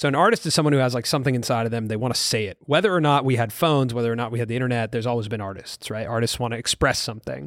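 Very fast speech from a man with an American accent, medium in pitch with ordinary pitch variation, in a dry, close sound with no echo on a very clean recording with a silent background. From US West Coast, Los Angeles. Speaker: creator economy commentator. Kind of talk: casual chat.

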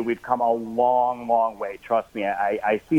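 At a fairly quick pace, a man with a medium pitch talks in a plain, everyday voice. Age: 30s. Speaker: social media influencer and activist. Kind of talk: call-in interview.

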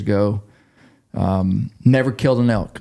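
A man's fairly low voice in an Ozark accent at a moderate pace. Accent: US Southern (Ozark). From western Arkansas. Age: 40s. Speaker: hunting podcast host. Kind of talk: casual interview.

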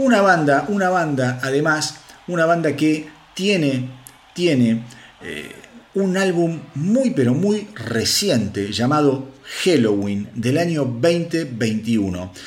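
A man speaks very slowly in a fairly high voice, his pitch swinging very widely. Noticeable background noise runs under the recording. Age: 50s. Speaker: rock news podcast host. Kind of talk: solo news podcast monologue. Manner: animated, with many hesitations.

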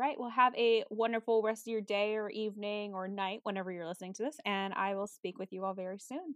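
Very fast speech with hardly any pauses from a woman at medium pitch with ordinary pitch variation. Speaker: podcast host. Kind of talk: casual interview chat. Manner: enthusiastic, friendly.

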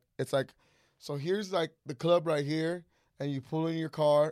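A man's fairly high voice at a moderate pace, fairly even in intonation, in a very clean recording with a silent background and a dry, close sound with no echo. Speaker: podcast guest, friend of host. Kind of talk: casual chat. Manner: loud.

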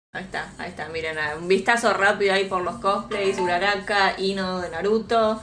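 A woman at a moderate pace and medium pitch, with monotone, flat intonation and noticeable background noise. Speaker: YouTuber guest, hair dye tutorials. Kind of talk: casual chat on live stream.

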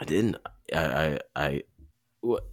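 On a very clean recording with a silent background, a man with an American accent speaks at a very deep, low pitch with vocal fry. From Michigan, US. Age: 30s. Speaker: marathon runner and podcaster. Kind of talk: casual chat. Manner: halting, many fillers.

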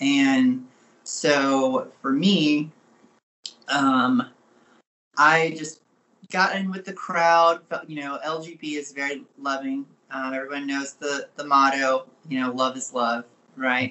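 At a very slow pace with long, frequent pauses, a man with a fairly high pitch keeps his intonation fairly even. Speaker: guest, former pastor and chaplain. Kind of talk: casual interview, personal story.

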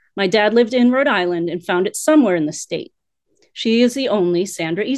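A woman speaks at a fairly quick pace with lively intonation over a quiet background. She has a plain, everyday voice. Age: 50s. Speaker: guest sharing personal story. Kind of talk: casual chat.

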